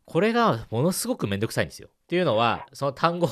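Over a quiet background, a man speaks very fast with vocal fry and very wide pitch swings. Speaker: radio host. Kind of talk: advice segment interview. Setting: studio.

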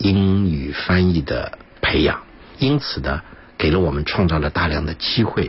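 Someone talks at a fairly slow pace amid noticeable background noise. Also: man, very deep, low pitch for a man, ordinary pitch variation. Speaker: international relations commentator and former diplomatic interpreter. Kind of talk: radio interview. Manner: frequent filler sounds, measured pace.

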